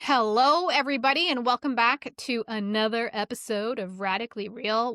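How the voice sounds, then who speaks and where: This woman's voice sits fairly high, with lively intonation and an animated tone. The sound is dry and close, with no echo. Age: 40s. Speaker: podcast host. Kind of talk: casual chat.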